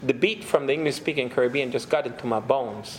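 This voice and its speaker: A man with a Puerto Rican accent and a fairly high voice is heard over noticeable background noise. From Puerto Rico. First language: Spanish. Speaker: pastor and theologian. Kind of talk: lecture.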